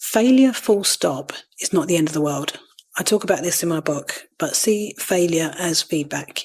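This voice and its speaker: In a Cockney accent, a woman speaks with lively intonation at a fairly low pitch. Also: moderate pace. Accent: London Cockney. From East London. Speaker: podcast host, virtual assistant. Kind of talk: podcast self-interview answer.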